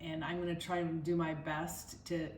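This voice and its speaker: In an American accent, a woman talks in a fairly low pitch amid audible room echo. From Minnesota, US Midwest. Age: 60s. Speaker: wellness vlogger. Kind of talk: personal vlog monologue.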